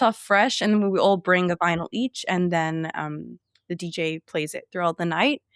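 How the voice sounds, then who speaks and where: A woman with an English accent at a medium pitch, ordinary pitch variation and a fairly slow pace, in a dry, close sound with no echo. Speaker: sociology graduate, book content creator. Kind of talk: casual podcast interview.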